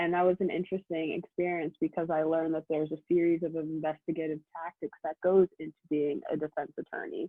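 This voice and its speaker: A woman with a fairly low pitch talks very fast in a monotone, flat intonation, with hardly any pauses. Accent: Philadelphia. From US Northeast, Philadelphia. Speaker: law student. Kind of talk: presentation to prospective students.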